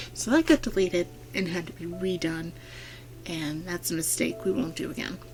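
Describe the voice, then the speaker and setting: Quiet and at a fairly slow pace, a woman speaks with a fairly low pitch while music plays in the background. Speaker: gaming YouTuber. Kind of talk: let's play voiceover commentary. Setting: home recording at night. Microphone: speakers off to avoid echo.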